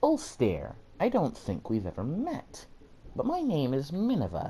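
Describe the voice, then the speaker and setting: A man puts on a character voice at a fairly high pitch. The pace is moderate. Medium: read story. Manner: breezy, confident.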